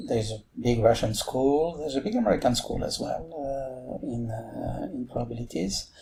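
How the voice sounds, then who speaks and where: A man speaks with a French accent. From France. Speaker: mathematics professor. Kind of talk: podcast interview. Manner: halting, many fillers.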